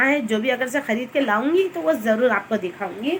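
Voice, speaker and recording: There is noticeable background noise behind the speaker. A woman talks at a moderate pace. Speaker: vlogger. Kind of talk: casual chat. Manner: chatty, rambling.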